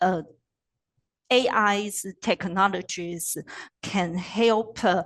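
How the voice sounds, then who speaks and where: Against a quiet background, the voice has ordinary pitch variation. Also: woman. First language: Chinese. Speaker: postdoctoral researcher, presenter. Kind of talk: webinar Q&A answer. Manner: halting, hesitant.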